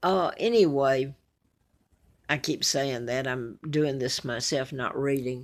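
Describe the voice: With an Alabama accent, a woman speaks at a slow pace and an extremely low pitch. Her pitch varies in an ordinary way. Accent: Southern US, Alabama.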